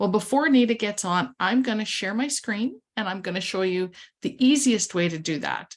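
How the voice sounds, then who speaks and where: A somewhat breathy woman's medium-pitched voice with lively intonation over a quiet background. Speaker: livestream co-host and author. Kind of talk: casual livestream chat and tutorial. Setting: video livestream. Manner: soft-spoken.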